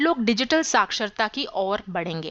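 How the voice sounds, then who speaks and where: In a dry, close recording with no echo and a quiet background, a woman speaks with very wide pitch swings. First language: English (more comfortable than Hindi) (speaking Hindi). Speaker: YouTube tutorial creator, digital marketing specialist. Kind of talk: podcast monologue. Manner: formal, structured explanation.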